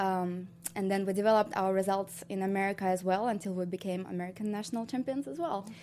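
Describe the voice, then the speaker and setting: A woman's medium-pitched voice with a dark, mellow tone, very fast delivery, and a very clean recording against a silent background. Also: fairly even intonation. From Ukraine. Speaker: professional ballroom dancer. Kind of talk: casual interview.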